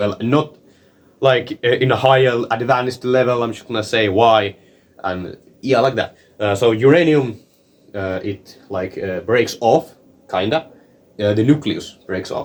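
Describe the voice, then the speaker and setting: A man with a non-native accent speaks at a fairly slow pace and a medium pitch, pausing long and often. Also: ordinary pitch variation. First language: not English. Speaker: science explainer video maker. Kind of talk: informal tutorial. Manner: halting, many fillers and repetitions.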